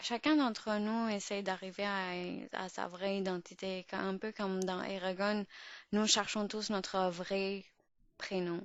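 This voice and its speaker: A woman with an Urdu accent, medium pitch, fairly even intonation and a very slow pace. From Pakistan. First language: Urdu (speaking French). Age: 20s. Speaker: podcast host. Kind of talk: podcast monologue. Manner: halting, many fillers and restarts.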